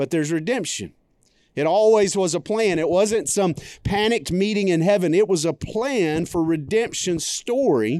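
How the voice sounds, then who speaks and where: A man's high-pitched voice with a dark, mellow tone and lively intonation, at a moderate pace in a very clean recording with a silent background. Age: 40s. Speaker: pastor. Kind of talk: sermon. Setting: church. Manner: animated.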